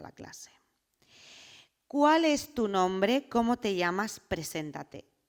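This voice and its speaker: With a Madrid accent, a woman speaks in very wide pitch swings. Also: very clean recording, silent background. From Spain, Madrid. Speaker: political scientist and activist speaker. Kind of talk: personal testimony talk.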